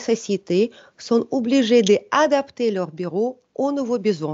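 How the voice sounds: The speaker has a non-native accent and talks at a moderate pace. The tone is slightly mellow. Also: woman. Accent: foreign, non-French.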